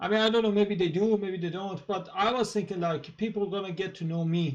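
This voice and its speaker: Here a man talks fairly quickly at a high pitch, keeping his intonation fairly even. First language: Persian. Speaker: YouTuber, political commentator. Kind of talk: casual monologue. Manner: halting, many fillers.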